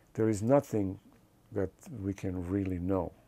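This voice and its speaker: A man with a non-native accent, very deep and low in pitch, at a fairly slow pace with ordinary pitch variation, in a very clean recording with a silent background. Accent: foreign. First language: not English. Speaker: film director. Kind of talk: interview. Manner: hesitant, frequent uh fillers.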